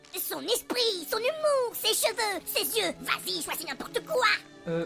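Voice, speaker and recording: Over loud background music, a put-on character voice moves at a fairly slow pace. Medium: fan dub. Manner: cheeky.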